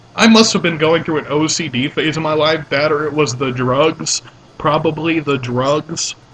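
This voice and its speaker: A man with a fairly high voice talks at a moderate pace, his pitch varying in an ordinary way, as noticeable background noise runs beneath. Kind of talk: casual let's play commentary.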